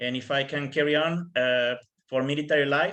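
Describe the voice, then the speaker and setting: With fairly even intonation, a man talks in a Spanish accent at a fairly high pitch. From tropical Mexico. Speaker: Canadian Armed Forces member. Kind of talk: panel presentation answering questions. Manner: halting, frequent fillers.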